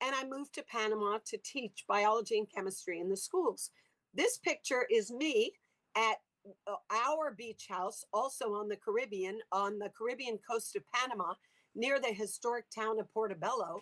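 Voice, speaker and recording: Someone with an American accent talks at a moderate pace with ordinary pitch variation in an unremarkable speaking voice, the sound dry and close with no echo. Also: woman, fairly high pitch for a woman. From US South, Louisiana. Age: 60s. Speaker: sea cucumber farming entrepreneur, former biology teacher. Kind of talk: interview with slide presentation.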